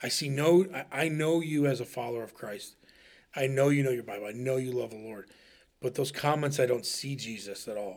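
A man with an American accent speaks at a medium pitch in an unremarkable speaking voice. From Ohio, US Midwest. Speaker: podcast co-host. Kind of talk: casual chat.

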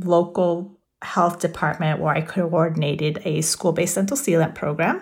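A somewhat breathy woman at a fairly low pitch, her intonation fairly even, in a very clean recording with a silent background. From South Texas. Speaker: dental hygienist, public health. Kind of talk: interview. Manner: frequent filler hesitations; mixes English and Spanish.

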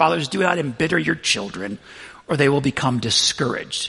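A man with a fairly high pitch, an unremarkable speaking voice, lively intonation and a fairly quick pace. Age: 40s. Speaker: pastor. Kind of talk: sermon.

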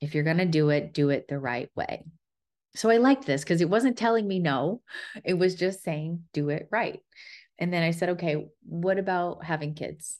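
An unremarkable speaking voice, lively intonation, moderate pace and a quiet background. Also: woman, fairly low pitch for a woman. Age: 30s. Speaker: podcast host. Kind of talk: solo storytelling monologue.

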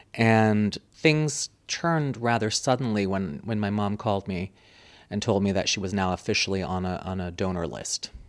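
On a very clean recording with a silent background, a man speaks at a fairly low pitch. His pace is moderate and his pitch variation ordinary. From US, suburb of Washington, D.C. (born in Munich, Germany). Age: young. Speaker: public relations professional, former radio worker. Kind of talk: interview conversation.

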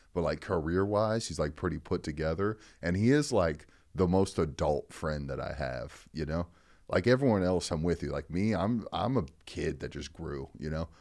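A man with a very deep, low pitch speaks at a moderate pace with lively intonation. The recording is very clean and the background silent. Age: 30s. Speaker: comedian. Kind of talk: casual chat.

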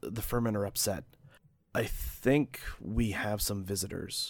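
Putting on a character voice, a man speaks at a fairly slow pace with a raspy, fairly low pitch. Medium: actual play. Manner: cool, commanding.

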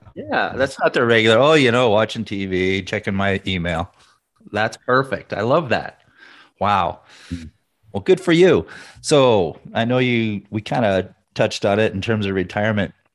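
This man has an unremarkable speaking voice with a fairly low pitch. His intonation is lively, and the background is quiet. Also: moderate pace. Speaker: podcast host. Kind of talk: casual interview chat.

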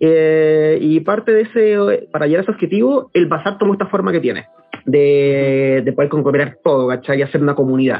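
A man's fairly high voice, lively in intonation and very even in loudness, over noticeable background noise. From Chile, Santiago. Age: 30s. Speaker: mushroom product entrepreneur. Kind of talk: casual interview chat.

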